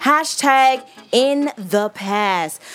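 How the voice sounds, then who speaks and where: A woman talks at a high pitch with very wide pitch swings. Music plays in the background. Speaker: radio host. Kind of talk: radio dj patter, upbeat show banter. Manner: animated, warm, playful.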